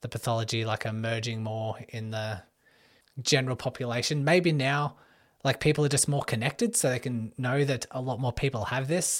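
With an Australian accent, a man speaks at a moderate pace and medium pitch, with ordinary pitch variation. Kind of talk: solo Q&A podcast monologue.

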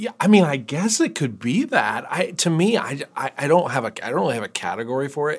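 Over a silent background in a very clean recording, a man with an American accent talks at a moderate pace with very wide pitch swings. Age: 40s. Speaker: pastor. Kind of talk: casual chat.

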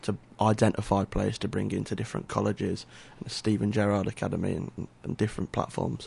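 The speaker talks at a very fast pace with an English accent. The intonation stays fairly even. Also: man, fairly low pitch for a man. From England. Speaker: youth soccer coach. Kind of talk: radio interview. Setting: radio studio.

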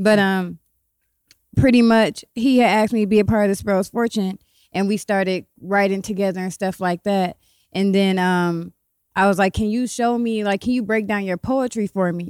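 A woman speaks at a moderate pace in an ordinary speaking voice, medium in pitch with fairly even intonation, on a very clean recording with a silent background and a dry, close sound with no echo. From Ohio, Columbus and Cleveland. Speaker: poet and author. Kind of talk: casual chat.

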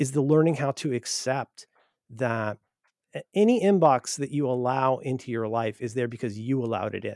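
A man with an American accent and a plain, everyday voice, medium in pitch, at a moderate pace, with a dry, close sound and no echo. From US Midwest, Cincinnati Ohio. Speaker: writer and podcaster. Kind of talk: interview conversation.

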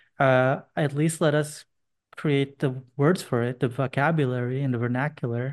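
An unremarkable speaking voice moves at a moderate pace with fairly even intonation over a quiet background. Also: man, fairly high pitch for a man. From Boston, US (moved from Indonesia at 8). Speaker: educator, artist and gun violence survivor. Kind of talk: interview testimony.

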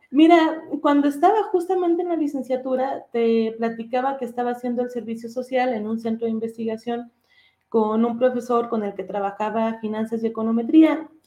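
A woman speaks at a high pitch with a dark, mellow tone. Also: ordinary pitch variation, moderate pace. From Durango, Mexico. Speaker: economist and academic researcher. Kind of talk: interview conversation.

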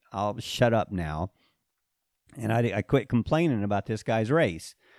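In a very clean recording with a silent background and a dry, close sound with no echo, a man talks at a fairly slow pace and a medium pitch. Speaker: trail running coach. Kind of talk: casual interview. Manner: understated.

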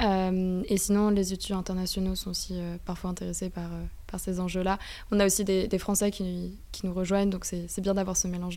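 Audible room echo surrounds a woman's dark, mellow tone. She talks at a fairly quick pace in a monotone, flat intonation. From France. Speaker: student association co-president. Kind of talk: radio interview. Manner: halting.

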